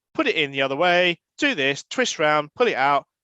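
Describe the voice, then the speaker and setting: Fairly quick speech with very wide pitch swings and a bright, sharp tone, the sound dry and close with no echo over a quiet background. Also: man. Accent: British. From Britain. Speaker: professor of earth system science. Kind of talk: podcast interview. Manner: animated.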